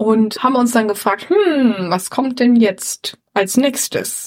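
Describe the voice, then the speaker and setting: A woman speaks in a high pitch. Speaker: podcast co-host. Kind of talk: casual chat. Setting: empty flat. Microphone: suboptimal equipment, poorer sound.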